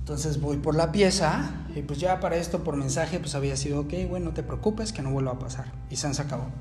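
A male voice with clearly audible background noise and some noticeable reverberation from the room. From Mexico City. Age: 20s. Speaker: phone repair technician and podcaster. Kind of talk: casual monologue. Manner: hesitant with many repetitions.

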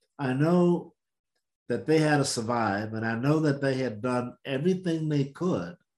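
A man at medium pitch with an American accent, ordinary pitch variation and a moderate pace. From US South, Mississippi. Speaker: civil rights veteran and podcast co-host. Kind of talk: storytelling.

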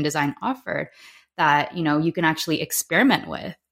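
Very fast speech comes from a woman. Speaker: human design coach. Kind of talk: casual interview. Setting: video call, remote from Spain.

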